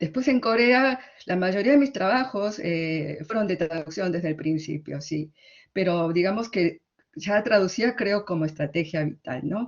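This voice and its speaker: Speaking at a fairly slow pace in an Argentine accent, a woman uses lively intonation at a medium pitch. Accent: Argentine Spanish, fully. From Argentina. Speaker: literary translator and academic. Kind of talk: conference talk. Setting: conference. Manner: hesitant, with fillers.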